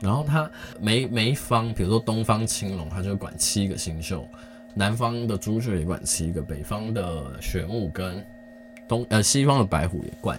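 Over music in the background, a man speaks at a moderate pace with a fairly low pitch and lively intonation. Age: 30s. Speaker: podcast host. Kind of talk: casual solo chat. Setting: home recording late at night. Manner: halting, many pauses.

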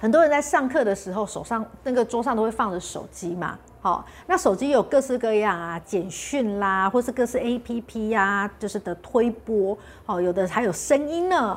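Speaking at a moderate pace, a woman has a fairly high pitch. The recording is very clean, with a silent background. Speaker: health channel host. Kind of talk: casual vlog talk. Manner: clear articulation.

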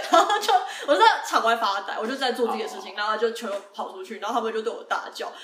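Over noticeable background noise, a woman's voice moves through very wide pitch swings. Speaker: podcast co-host. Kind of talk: casual chat.

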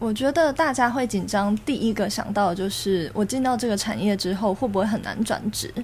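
With noticeable background noise behind her, a woman speaks at a fairly high pitch and a moderate pace, using ordinary pitch variation and hardly any pauses. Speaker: online gambling industry worker. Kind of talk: casual chat.

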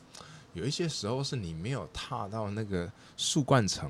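In a normal speaking voice, the speaker talks at a moderate pace with lively intonation. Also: man. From Taiwan. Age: 40s. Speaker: architect and treehouse builder. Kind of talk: interview.

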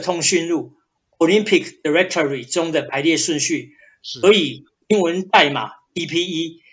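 A high-pitched man's voice with ordinary pitch variation. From central Taiwan, Changhua. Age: 50s. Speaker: journalism professor. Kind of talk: interview answers.

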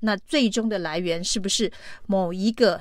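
Here a woman has an ordinary speaking voice at medium pitch with ordinary pitch variation. The recording is very clean, with a silent background. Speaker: political commentary podcast host. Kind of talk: solo news commentary.

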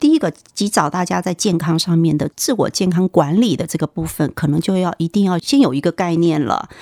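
Dark and mellow in tone, a woman speaks at a fairly low pitch and fairly quick pace with hardly any pauses. Her pitch varies in an ordinary way, and the sound is dry and close with no echo. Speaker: nurse. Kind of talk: interview.

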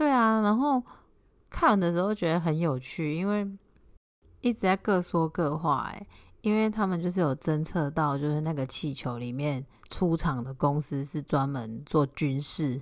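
At a fairly slow pace, a woman uses a normal speaking voice, fairly low in pitch, with lively intonation. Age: 30s. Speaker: podcast co-host, housewife. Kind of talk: casual chat. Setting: remote recording with co-host.

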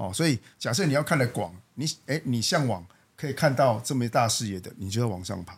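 A somewhat breathy man at medium pitch, a fairly quick pace and lively intonation, with big swings in loudness. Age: 40s. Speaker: company general manager. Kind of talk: casual interview.

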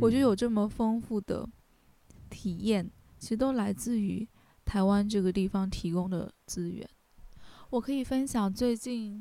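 A woman with a fairly high, dark and mellow voice speaks fairly slowly with ordinary pitch variation and long, frequent pauses. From China, Hubei. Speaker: graduate student and music manager. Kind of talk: casual interview.

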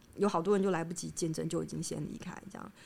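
A woman speaks with vocal fry. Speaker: academic researcher in anthropology and psychoanalysis. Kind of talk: interview conversation. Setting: on location in her research institute.

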